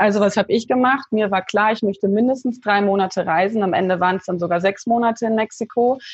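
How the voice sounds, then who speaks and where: A woman's somewhat breathy, medium-pitched voice at a very fast pace with hardly any pauses, ordinary pitch variation and a quiet background. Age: 30s. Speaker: life coach. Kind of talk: interview.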